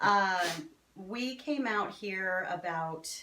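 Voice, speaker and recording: A woman with an American accent speaks with lively intonation. Room echo is audible, along with noticeable background noise. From New Jersey. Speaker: fantasy author and festival vendor. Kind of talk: casual interview.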